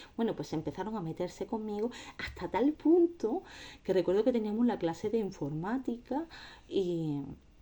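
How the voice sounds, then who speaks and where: Her pitch swinging very widely, a woman with a dark, mellow tone speaks at a moderate pace. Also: medium pitch for a woman. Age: 30s. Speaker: anti-bullying advocate. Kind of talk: testimony. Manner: halting.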